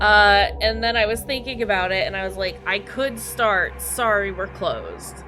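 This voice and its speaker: With music playing in the background, a woman talks at a moderate pace and hardly pauses at all. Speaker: video game streamer. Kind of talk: casual chat. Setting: live stream. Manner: loud at times; halting, repeats words.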